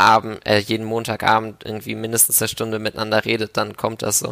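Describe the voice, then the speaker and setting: The sound is dry and close, with no echo. A man speaks at a fairly low pitch. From Germany, Hamburg. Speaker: medical student volunteer. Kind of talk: casual interview. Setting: video call from home.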